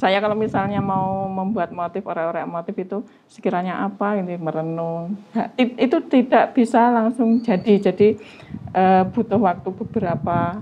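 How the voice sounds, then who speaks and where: The woman talks at a moderate speed in a medium register, her pitch varying in an ordinary way as noticeable background noise sounds behind her. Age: 40s. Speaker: batik maker. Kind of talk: interview.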